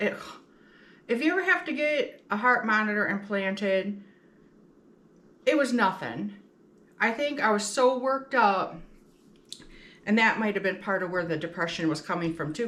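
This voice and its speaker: A woman with a bright, sharp tone and a medium pitch speaks with ordinary pitch variation and long, frequent pauses, with audible room echo. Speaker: home cooking vlogger. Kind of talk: casual cooking tutorial chat. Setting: home kitchen.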